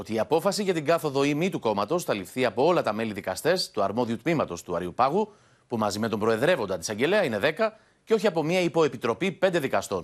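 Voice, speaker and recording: This man's pitch swings very widely. He keeps up a fairly quick pace. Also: quiet background. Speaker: news reporter. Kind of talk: news report.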